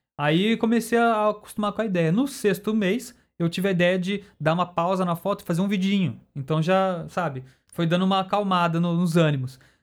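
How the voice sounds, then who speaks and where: On a very clean recording with a silent background, a man speaks at a high pitch and moderate pace, with ordinary pitch variation and very even loudness. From Campinas, interior of São Paulo state, Brazil. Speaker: YouTuber and graphic designer. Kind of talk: casual chat.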